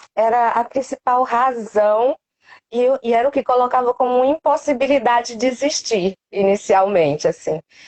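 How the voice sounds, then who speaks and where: A woman speaks with a northeastern Brazilian accent. Her pitch is high, with ordinary variation. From Cariri, Ceará, northeastern Brazil. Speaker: cancer survivor, student. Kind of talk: interview testimony.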